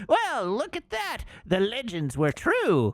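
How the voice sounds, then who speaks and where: This is a put-on character voice with fairly high pitch. It moves at a fairly slow pace. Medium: game stream. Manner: theatrical, overblown.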